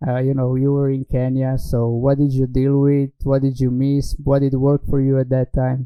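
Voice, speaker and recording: A man's medium-pitched voice with a Slovenian accent, moderate pace, flat monotone intonation and hardly any pauses. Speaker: talk show host. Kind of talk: interview. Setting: online stream.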